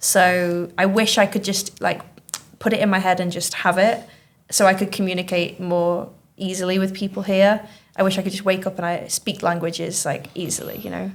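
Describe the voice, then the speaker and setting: A woman with a Manchester accent talks at a fairly quick pace. Her medium pitch stays monotone and flat. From Manchester, northern England. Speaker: teacher hosting school podcast. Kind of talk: casual chat.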